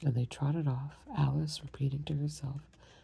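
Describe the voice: Fairly even intonation in plain reading aloud.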